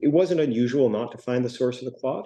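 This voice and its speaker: His tone is dark and mellow, with medium pitch and ordinary pitch variation. The man speaks at a very fast pace. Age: 60s. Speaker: heart attack survivor, patient speaker. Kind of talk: personal testimony.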